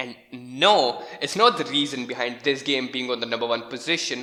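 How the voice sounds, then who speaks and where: A man talks with a non-native accent and ordinary pitch variation. Noticeable background noise runs underneath. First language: not English. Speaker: gaming YouTuber. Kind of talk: video commentary. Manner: casual, animated.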